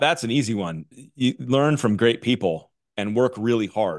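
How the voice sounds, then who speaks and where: A man's medium-pitched voice, an ordinary speaking voice with ordinary pitch variation, against a quiet background. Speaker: mortgage executive and coach. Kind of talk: casual interview chat.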